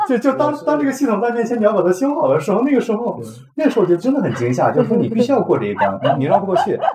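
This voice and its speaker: The delivery is very fast, with lively intonation. Noticeable background noise runs underneath. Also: man, extremely high pitch for a man. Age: 40s. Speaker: software engineer. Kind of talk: casual chat. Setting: over a meal.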